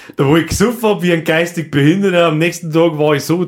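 Here a man speaks with vocal fry. His intonation is lively. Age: 30s. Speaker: podcast host. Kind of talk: casual chat.

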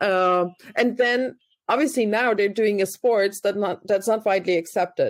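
Here is a woman with a German accent. The recording is very clean, with a silent background. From Germany. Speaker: podcast host. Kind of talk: interview.

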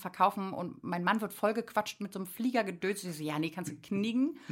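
A woman speaks with ordinary pitch variation. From Berlin (Friedrichshagen area). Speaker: artist. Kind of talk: casual chat. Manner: animated.

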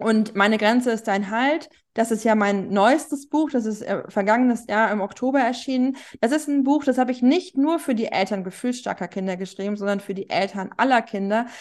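A woman speaks in a normal speaking voice at a fairly high pitch with ordinary pitch variation. The background is quiet. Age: 40s. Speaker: journalist and parenting author. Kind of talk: interview.

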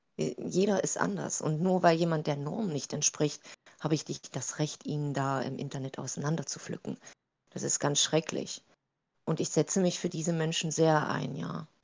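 With vocal fry and a very deep, low pitch, a woman talks at a moderate pace. Her pitch variation is ordinary. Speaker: TikTok creator. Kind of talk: interview. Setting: video call.

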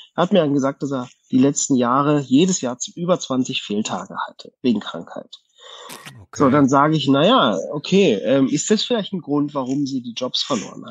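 This man's voice sits at a fairly high pitch. His loudness swings widely. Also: lively intonation, moderate pace. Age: 30s. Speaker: company manager. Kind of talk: casual chat. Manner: hesitant, many fillers.

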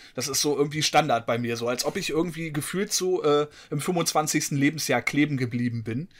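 A man with an ordinary speaking voice, fairly high pitch and ordinary pitch variation at a moderate pace, in a very clean recording with a silent background. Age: 40s. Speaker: gaming podcast co-host. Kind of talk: casual chat.

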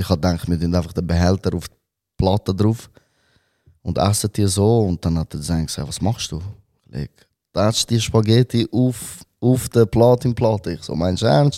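Dry and close with no echo on a very clean recording with a silent background, a man's dark, mellow, fairly low voice moves at a moderate pace with ordinary pitch variation and long, frequent pauses. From Switzerland, Zurich Oberland (Wetzikon). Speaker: rapper. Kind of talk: casual chat.

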